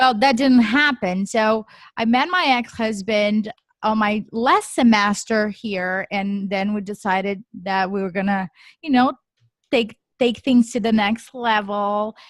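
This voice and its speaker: Recorded very cleanly with a silent background and a dry, close sound with no echo, a woman with a Portuguese accent speaks fairly slowly at a fairly high pitch with ordinary pitch variation. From Brazil. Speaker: real estate developer. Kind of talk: podcast interview.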